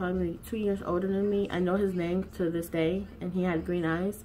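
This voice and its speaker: At a moderate pace and a medium pitch, a woman talks with fairly even intonation in an unremarkable speaking voice. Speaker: YouTuber. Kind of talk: casual vlog chat.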